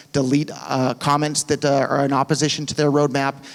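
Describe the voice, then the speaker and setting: A man speaks at a fairly quick pace, his pitch fairly high. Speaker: cryptocurrency advocate. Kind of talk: conference Q&A answer.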